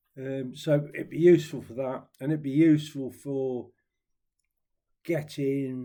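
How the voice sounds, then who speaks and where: A man speaks with an East Midlands accent in a dark, mellow tone, his pitch varying in an ordinary way. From Nottingham, England. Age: 70s. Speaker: ukulele vlogger. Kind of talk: casual chat. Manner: rambling, hesitant with fillers.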